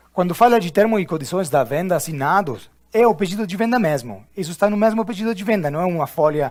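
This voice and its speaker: A man with an Argentine accent speaks in a high voice. His intonation is lively and his pace fairly quick. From Argentina. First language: Spanish (speaking Portuguese). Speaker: corporate trainer. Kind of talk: training session. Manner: halting.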